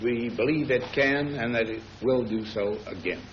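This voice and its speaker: Noticeable background noise behind a man's medium-pitched speech and its ordinary pitch variation. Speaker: head of state. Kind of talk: formal policy statement.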